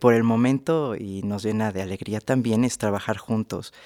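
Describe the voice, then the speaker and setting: A man with a fairly low pitch uses an ordinary speaking voice with ordinary pitch variation. The recording is very clean and dry, close with no echo and a silent background. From Mexico City. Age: 20s. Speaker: cartoonist. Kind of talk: radio interview. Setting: studio.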